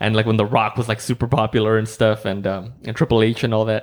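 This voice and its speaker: The speaker is a man. His words come out very fast. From Mexico. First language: Spanish. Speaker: podcast host. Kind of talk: casual chat. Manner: relaxed, low energy.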